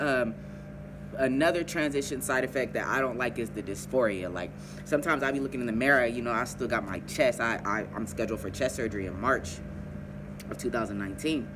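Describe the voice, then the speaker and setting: A man talks very fast at a medium pitch. Music plays behind him, and room echo is audible. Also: ordinary pitch variation. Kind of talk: casual advice vlog.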